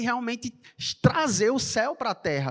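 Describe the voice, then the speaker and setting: An animated voice in a Recife accent at a moderate pace. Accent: Recife (Pernambuco) accent, noticeable. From Brazil, Recife (Pernambuco). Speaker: church announcer. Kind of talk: church announcements. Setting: church service.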